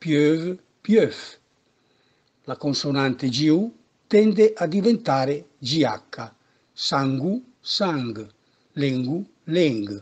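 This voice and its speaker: Delivery is very slow, with long, frequent pauses. Pitch swings very wide. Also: man, fairly high pitch for a man. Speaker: dialect teacher. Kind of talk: language lesson narration.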